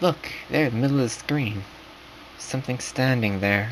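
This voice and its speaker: Amid noticeable background noise, a man with a medium pitch speaks at a moderate pace. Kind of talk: narrated horror story in second person, casual read-aloud. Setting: late-night home recording, rough quality.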